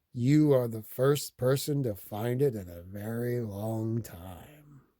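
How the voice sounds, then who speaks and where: A man puts on a character voice at a medium pitch. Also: fairly slow pace. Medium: read story. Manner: quiet, gentle.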